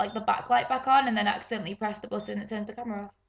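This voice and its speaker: A woman speaks with a British accent. Her voice is somewhat breathy, with ordinary pitch variation. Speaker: beauty vlogger. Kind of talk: casual talk to camera. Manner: fast, awkward.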